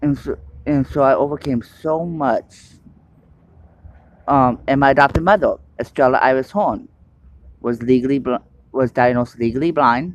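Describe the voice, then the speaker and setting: Loud and fairly high-pitched, a man talks at a moderate pace with ordinary pitch variation and long, frequent pauses. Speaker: testimony speaker. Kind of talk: testimony. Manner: halting; uneven loudness.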